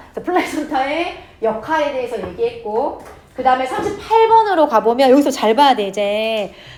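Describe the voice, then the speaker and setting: The pitch swings very widely, with audible room echo and noticeable background noise. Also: woman. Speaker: English teacher. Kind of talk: lecture. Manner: fast; casual, informal speech to students.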